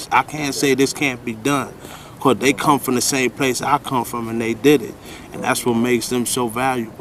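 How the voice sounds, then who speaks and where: A man speaks at a moderate pace with medium pitch and fairly even intonation. Noticeable noise sits in the background. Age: 40s. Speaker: rehab resident. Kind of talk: interview.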